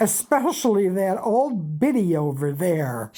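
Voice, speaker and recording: A woman's raspy, put-on character voice, medium in pitch, at a fairly slow pace with very wide pitch swings. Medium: read story. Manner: coarse, blunt, ungrammatical.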